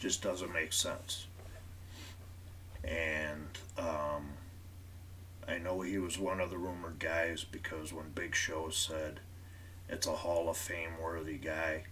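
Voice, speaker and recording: A man's very deep, low, monotone voice with flat intonation, at a very slow pace with long, frequent pauses and audible room echo. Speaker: wrestling podcast host. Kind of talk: live stream commentary.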